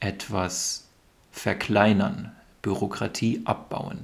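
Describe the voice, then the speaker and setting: A fairly low-pitched man speaking at a very slow pace. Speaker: podcast host teaching German. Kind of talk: educational podcast monologue for learners. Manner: slow, clear explanatory delivery.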